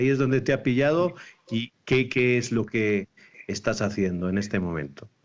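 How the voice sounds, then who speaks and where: Speaking with a Spanish accent, a man uses a medium pitch, ordinary pitch variation and a moderate pace. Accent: Spanish (Spain). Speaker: priest, program host. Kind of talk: online talk show interview.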